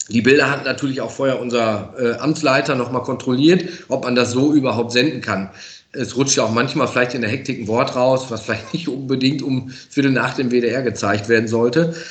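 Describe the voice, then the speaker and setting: A man talks at a fairly quick pace in a medium pitch. The room echo is audible and the background noise is noticeable. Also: fairly even intonation. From Münsterland, western Germany. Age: 40s. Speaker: professional firefighter. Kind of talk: casual interview. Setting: fire station.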